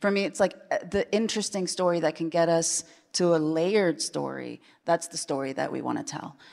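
Speaking with an American accent, a woman has a fairly low pitch, vocal fry and ordinary pitch variation. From Chile, then Iowa from age 8. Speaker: TV showrunner. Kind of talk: panel discussion. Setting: stage with audience.

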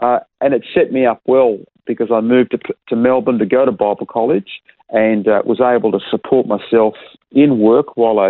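Male voice in an Australian accent, its intonation fairly even. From Perth, Western Australia. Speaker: pastor. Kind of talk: interview.

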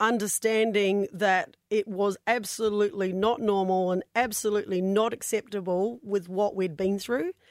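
On a very clean recording with a silent background and a dry, close sound with no echo, a woman with a New Zealand accent speaks fairly slowly at a fairly high pitch. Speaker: domestic violence survivor and charity founder. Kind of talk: radio interview testimony. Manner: hesitant, many fillers.

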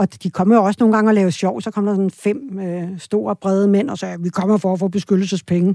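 A dark, mellow tone comes at a moderate pace with ordinary pitch variation, in a very clean recording with a silent background and a dry, close sound with no echo. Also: woman. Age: 50s. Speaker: politician. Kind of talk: interview conversation.

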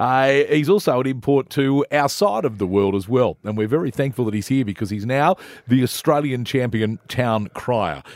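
On a very clean recording with a silent background and a dry, close sound with no echo, a man with a medium pitch and a plain, everyday voice speaks at a moderate pace with lively intonation and hardly any pauses. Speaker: radio host. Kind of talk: casual interview. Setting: studio.

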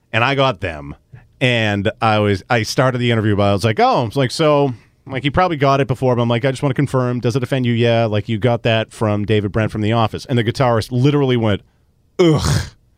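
Talking at a very fast pace in a Boston accent, a man keeps a medium pitch with ordinary variation. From Melrose, Massachusetts (Boston area). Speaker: sports radio personality. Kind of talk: casual interview chat.

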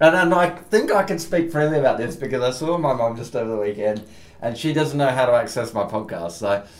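With noticeable background noise, a man with an Australian accent speaks fairly quickly at a medium pitch, his voice swinging very widely. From Perth, Western Australia. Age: 40s. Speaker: podcast host and musician. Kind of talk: casual chat. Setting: on location in Williamstown, Melbourne.

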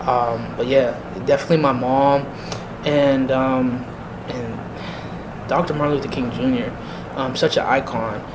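A man's medium-pitched, monotone voice with an American accent at a fairly slow pace, amid audible room echo and noticeable background noise. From US Northeast (Erie, Pennsylvania). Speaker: NAACP chapter officer and university staff. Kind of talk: interview.

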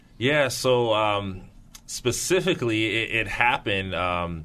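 A man with an American accent speaks in a bright, sharp tone with ordinary pitch variation. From US West Coast, San Francisco Bay Area (Pittsburgh, California). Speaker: pastor. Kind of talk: radio interview. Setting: studio. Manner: halting, many repetitions and fillers.

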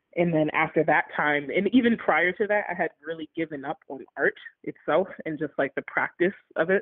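At a moderate pace, a woman talks with lively intonation in a normal speaking voice. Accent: American. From Baltimore, Maryland. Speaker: arts advocate and philanthropist. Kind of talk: interview. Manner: casual, many filler words.

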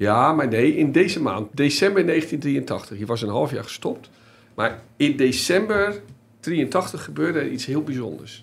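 The voice has vocal fry. It moves at a fairly slow pace. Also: man, fairly high pitch for a man. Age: 50s. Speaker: football journalist and podcast host. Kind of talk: casual chat.

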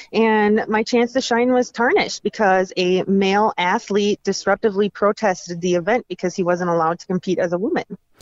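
Speaking in an unremarkable speaking voice, a woman moves at a fairly quick pace with hardly any pauses and fairly even intonation. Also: medium pitch for a woman, very even loudness. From Minnesota. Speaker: advocacy group founder, powerlifter. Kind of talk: interview.

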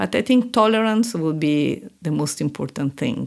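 In an Italian accent, a woman speaks at a moderate pace. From Italy. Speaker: senior international aid official. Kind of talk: interview. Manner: halting.

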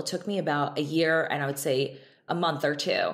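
In a plain, everyday voice, a woman speaks at a moderate pace. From Israel, then upstate New York. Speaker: beauty entrepreneur, esthetician. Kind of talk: interview conversation.

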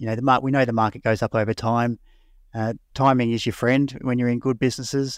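Very fast, monotone speech from a man at medium pitch with an Australian accent, dry and close with no echo, on a very clean recording with a silent background. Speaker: investment research director. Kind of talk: casual chat.

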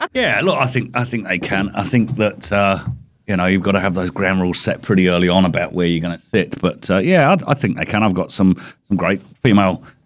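In a very clean recording with a silent background, a man with an ordinary speaking voice and a fairly low pitch talks at a fairly quick pace with ordinary pitch variation. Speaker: panelist. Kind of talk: casual panel discussion.

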